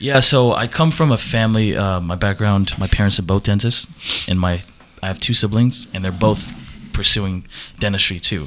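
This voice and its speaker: A man with a fairly low pitch speaks at a moderate pace and ordinary pitch variation over noticeable background noise. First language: not English. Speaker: young entrepreneur. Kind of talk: podcast conversation. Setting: studio.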